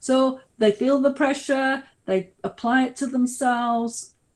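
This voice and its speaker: The background is quiet. The speaker has a British accent. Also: woman. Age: 60s. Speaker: researcher on ageing. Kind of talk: webinar Q&A answers. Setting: online webinar.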